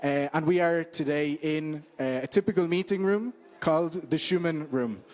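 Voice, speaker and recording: A man is talking with an Irish accent. His pitch varies in an ordinary way. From Ireland. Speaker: interpreter and social media manager. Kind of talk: event welcome talk. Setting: meeting room with live audience. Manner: hesitant with many fillers.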